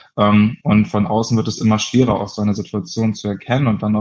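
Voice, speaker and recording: A normal speaking voice from a man, fairly low-pitched and at a fairly quick pace. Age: 20s. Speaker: founder of an anti-bullying association, social sciences student. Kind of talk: interview.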